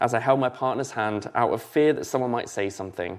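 A man speaks with a southern English accent and ordinary pitch variation against a quiet background. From southern England (Basingstoke, Hampshire). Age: 30s. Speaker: church learning and development lead, former student pastor. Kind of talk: sermon.

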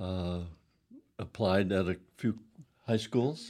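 Dark and mellow, a man's very deep, low voice carries an American accent and ordinary pitch variation. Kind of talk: casual interview.

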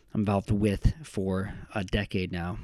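In a very clean recording with a silent background, a man uses an ordinary speaking voice at a fairly low pitch. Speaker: podcast host. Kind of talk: interview. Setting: in-person conversation.

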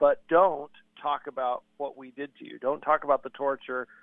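Speaking in a plain, everyday voice, a man keeps a moderate pace at a fairly high pitch. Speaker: ministry media spokesman and radio host. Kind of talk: radio interview.

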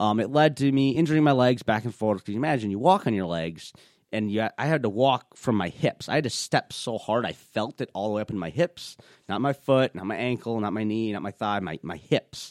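A man with a normal speaking voice and an American accent, medium pitch, lively intonation and a fairly quick pace, on a very clean recording with a silent background. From Minnesota, US Midwest. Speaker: wheelchair rugby player. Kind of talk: interview conversation.

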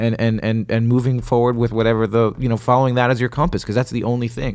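A man's medium-pitched voice at a very fast pace, in a very clean recording with a silent background. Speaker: comedian guest. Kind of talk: casual chat. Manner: conversational, filler-heavy.

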